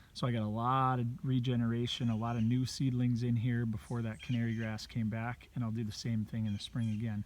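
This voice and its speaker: At a fairly quick pace with hardly any pauses, a man talks at a medium pitch in a monotone, flat intonation. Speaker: habitat consultant. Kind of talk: outdoor video tutorial. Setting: outdoors. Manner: casual; quiet.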